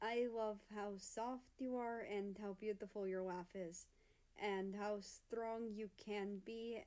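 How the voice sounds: In a natural reading voice, the intonation remains fairly even.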